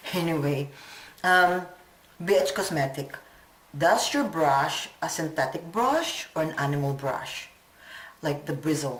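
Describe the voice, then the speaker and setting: In a room with audible echo, a woman with a very deep, low pitch speaks at a very slow pace, with ordinary pitch variation and long, frequent pauses. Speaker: beauty vlogger. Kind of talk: casual vlog talk. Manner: rambling, hesitant.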